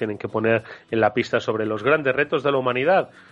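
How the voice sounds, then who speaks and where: With a Spanish accent, a man talks at a fairly quick pace with ordinary pitch variation. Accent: Peninsular Spanish. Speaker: radio host. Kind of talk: radio talk show interview. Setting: radio studio, live broadcast. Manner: hesitant, with fillers and repeated words.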